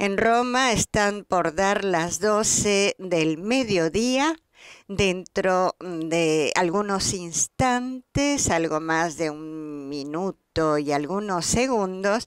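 Speaking very slowly against a quiet background, a woman uses lively intonation. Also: dry sound with no echo. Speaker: broadcast commentator. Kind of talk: commentary. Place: studio.

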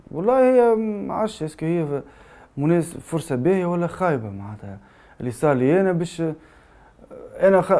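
A man speaks in a high pitch with a Tunisian accent. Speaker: journalist; journalist giving testimony. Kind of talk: testimony. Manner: halting. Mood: somber, shaken. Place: studio.

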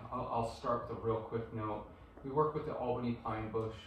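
At a fairly quick pace, a man talks amid light background noise and audible room echo. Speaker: guest. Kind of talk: presentation talk. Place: meeting room. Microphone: camera far.

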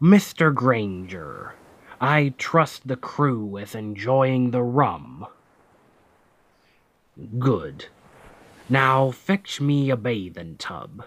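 In a put-on character voice, a man speaks at a medium pitch and a very slow pace. He leaves long, frequent pauses. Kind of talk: ASMR audio roleplay. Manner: commanding, then gentle and reassuring.

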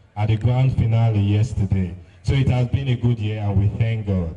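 The man keeps a moderate pace. His intonation is fairly even. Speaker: actor addressing the concert audience. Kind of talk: stage address.

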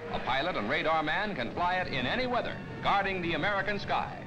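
A man speaks with ordinary pitch variation. Background noise is noticeable. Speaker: newsreel narrator. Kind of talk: 1950s newsreel narration. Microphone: old recording.

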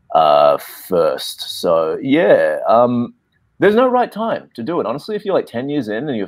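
A man talks at a moderate pace with an Australian accent. The background is quiet. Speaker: actor. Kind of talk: panel discussion. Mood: relaxed, reflective. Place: home room. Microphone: video call.

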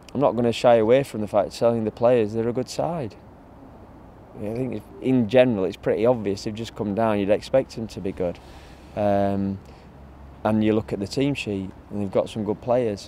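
With light background noise behind him, a man talks in a dark, mellow tone and fairly even intonation. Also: moderate pace, dry sound with no echo. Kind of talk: interview answer. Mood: relaxed, occasionally laughing. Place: open country.

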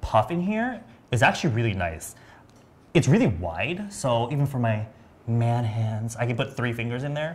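A somewhat breathy man speaks at a moderate pace with lively intonation. He leaves long, frequent pauses. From US West Coast, San Diego. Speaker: beauty livestream host. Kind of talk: live product demo chat. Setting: livestream studio. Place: studio. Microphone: lapel.

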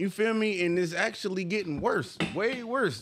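This man's intonation is lively, and noticeable background noise runs underneath. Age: 30s. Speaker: podcast co-host. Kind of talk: casual chat. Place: studio. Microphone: studio mic.

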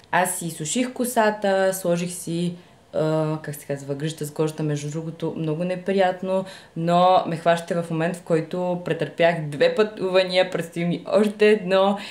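This woman has an ordinary speaking voice with a fairly low pitch. She talks at a fairly slow pace with fairly even intonation. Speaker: vlogger. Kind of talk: casual vlog chat. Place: home room. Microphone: phone near.

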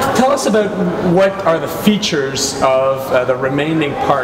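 A man speaks over loud background noise. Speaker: host interviewing a city official. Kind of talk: interview questions, community update. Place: hall.

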